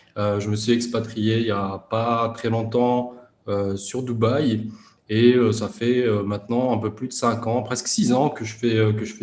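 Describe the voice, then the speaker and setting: In a room with audible echo, a man speaks at a moderate pace. His medium-pitched voice stays monotone and flat. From France, Grenoble suburbs. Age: 30s. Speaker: e-commerce entrepreneur. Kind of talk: interview. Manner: hesitant, many fillers.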